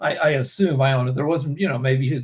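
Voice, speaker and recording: A man speaks with a somewhat breathy voice. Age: 60s. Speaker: co-host of a Q&A chat show. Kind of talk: casual chat. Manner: halting, many fillers and restarts.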